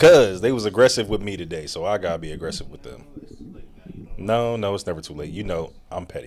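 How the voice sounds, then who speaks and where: A man talks at a fairly quick pace in a fairly low pitch. His intonation is lively, and his loudness swings widely. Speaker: podcast host. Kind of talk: scripted outro; casual chat.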